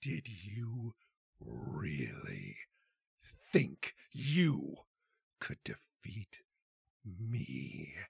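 A man puts on a character voice with a fairly low pitch. He speaks at a very slow pace with long, frequent pauses. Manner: taunting, arrogant.

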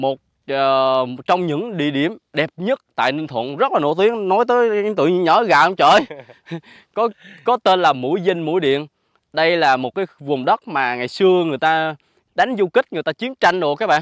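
A man speaks at a fairly slow pace with lively intonation. The sound is dry with no echo over a quiet background. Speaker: vlogger host. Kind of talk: casual vlog chat. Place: open country. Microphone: lapel.

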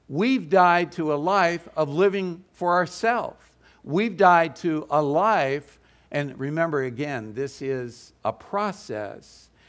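Lively intonation carries speech at a very slow pace against a quiet background. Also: man, fairly high pitch for a man. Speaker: lay preacher. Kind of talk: sermon. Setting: stage with audience.

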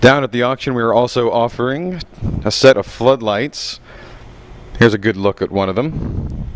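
This man's voice sits at a medium pitch with ordinary variation in it. He leaves long, frequent pauses. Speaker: auction preview presenter. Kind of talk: promotional walkthrough with auctioneer-style sales pitch. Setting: walking through an auction house. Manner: brisk, upbeat, rattling off lot items in a fast salesman patter; enthusiastic, inviting.

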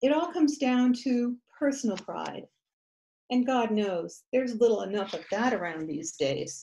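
A woman speaks at a moderate pace with a fairly high pitch and a dark, mellow tone. Her pitch swings very widely. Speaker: poet. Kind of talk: poem performed. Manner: animated, humorous, storytelling. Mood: wry, humorous delivery. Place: home room. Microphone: webcam.

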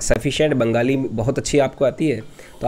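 This man's voice has a dark, mellow tone, sits at medium pitch, and moves at a moderate pace. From Rajasthan, India. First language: Rajasthani (speaking Hindi). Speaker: meditation teacher. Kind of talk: spiritual talk. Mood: calm, explanatory. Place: home room. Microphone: studio mic.

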